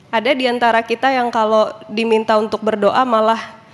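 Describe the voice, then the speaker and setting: The speaker is a woman. Her voice is fairly high in pitch. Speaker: pastor. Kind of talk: sermon. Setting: church. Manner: casual, conversational.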